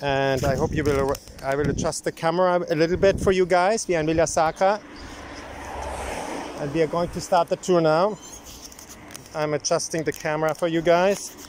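With long, frequent pauses and fairly even intonation, a man speaks in a dry sound with no echo over noticeable background noise. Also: moderate pace. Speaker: cyclist vlogger. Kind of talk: casual vlog chat. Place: bicycle. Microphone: phone near.

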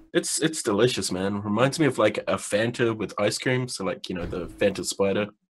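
A man with a fairly low pitch and ordinary pitch variation talks at a fairly quick pace with hardly any pauses. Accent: New Zealand. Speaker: vaping podcast co-host. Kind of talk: casual chat.

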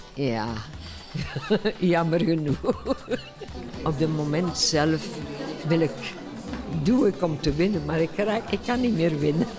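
Over clear background music, a woman speaks very slowly with long, frequent pauses. Her pitch is fairly low and her intonation lively. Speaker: competitive Scrabble player. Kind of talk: interview answer. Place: hall. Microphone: handheld.

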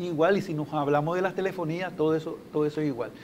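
A man at high pitch and a fairly quick pace, with light background noise. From Nicaragua. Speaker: consumer agency methodologist; guest. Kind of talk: TV interview. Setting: TV studio. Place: studio. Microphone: lapel.

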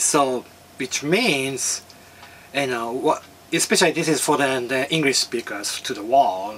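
Light background noise accompanies a man with a Japanese accent who speaks fairly slowly in a fairly high voice with lively intonation. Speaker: filmmaker and martial artist. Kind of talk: talk to camera. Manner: halting. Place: home room.

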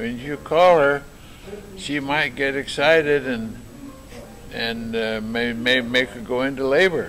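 A man speaks with long, frequent pauses. Faint music plays in the background. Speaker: storyteller recalling his life. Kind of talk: interview answer. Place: hall. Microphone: camera far.

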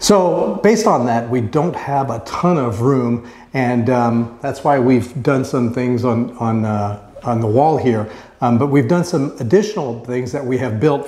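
The speaker is a man. Audible room echo surrounds his voice. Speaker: DIY channel co-host. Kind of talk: casual vlog chat. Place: garage. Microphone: lapel.

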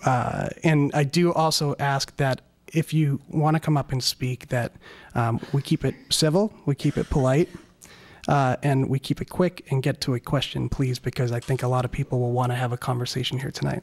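The voice is somewhat breathy. Its intonation holds fairly even. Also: man, moderate pace. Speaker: forum moderator. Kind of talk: event introduction. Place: hall.

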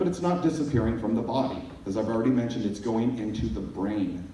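There is audible room echo and light background noise as a man speaks at medium pitch with ordinary pitch variation. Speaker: pharmacist giving a conference talk. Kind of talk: technical lecture on pharmacology. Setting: stage. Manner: fast talker. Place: hall. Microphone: pa.

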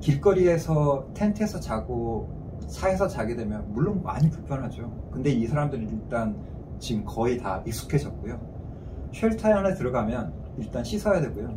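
The voice moves at a moderate pace with very wide pitch swings over noticeable background noise. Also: man. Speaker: analyst at a regional planning agency. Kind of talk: interview answer. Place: meeting room. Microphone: camera far.

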